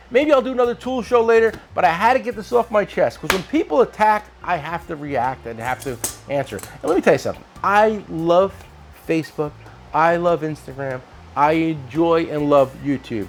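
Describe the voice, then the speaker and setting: Over background music, an animated voice moves at a moderate pace, with very wide pitch swings and big swings in loudness. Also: man, high pitch for a man. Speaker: tool shop owner and video host. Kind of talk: casual chat.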